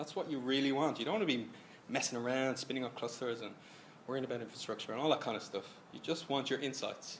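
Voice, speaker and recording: A man's medium-pitched voice with an Irish accent, a very fast pace, ordinary pitch variation and audible room echo. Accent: Irish, noticeable. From Ireland. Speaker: software consultant. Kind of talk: tech presentation. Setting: stage with audience. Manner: casual, animated.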